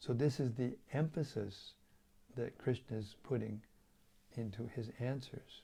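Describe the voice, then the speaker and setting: Somewhat breathy and dark, mellow in tone, a man at medium pitch talks at a fairly slow pace with ordinary pitch variation and long, frequent pauses. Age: 70s. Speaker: spiritual teacher. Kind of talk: religious lecture. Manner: halting, with fillers and repetitions.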